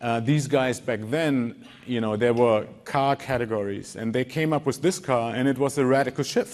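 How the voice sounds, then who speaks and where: With a German accent, a man speaks in fairly even intonation, leaving hardly any pauses. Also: medium pitch for a man, moderate pace. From Germany, Wolfsburg. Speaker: design lead. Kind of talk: conference talk. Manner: halting, many repeated words.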